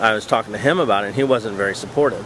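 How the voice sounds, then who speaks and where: Over noticeable background noise, a man speaks at a fairly low pitch with ordinary pitch variation. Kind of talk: casual talk to camera. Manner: hesitant, stuttering, many filler sounds.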